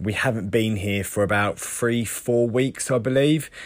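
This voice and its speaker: A man with a southern English accent. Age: 30s. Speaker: podcaster. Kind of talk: personal diary-style monologue. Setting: caravan.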